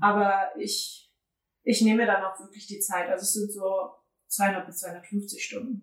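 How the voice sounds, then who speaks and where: A somewhat breathy woman speaks at a fairly slow pace. Her medium pitch stays in a monotone, flat intonation. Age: 20s. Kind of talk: casual interview chat.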